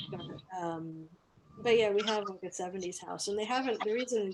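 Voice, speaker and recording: A woman speaks in an American accent at a fairly quick pace. Hers is an ordinary speaking voice, fairly high in pitch with ordinary pitch variation. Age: 40s. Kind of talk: casual chat.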